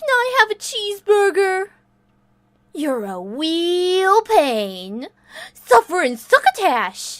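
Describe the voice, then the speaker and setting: Using a put-on character voice, a woman talks at a very slow pace in an extremely high pitch, leaving long, frequent pauses. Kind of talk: fan voice reel of game lines. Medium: dub. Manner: playful, teasing.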